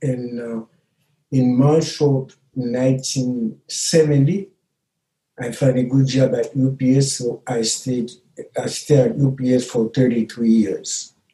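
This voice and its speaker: At a very slow pace, a medium-pitched man speaks with fairly even intonation in a dark, mellow tone that is somewhat breathy. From Haiti. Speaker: retired immigrant father. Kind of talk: family interview. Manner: halting.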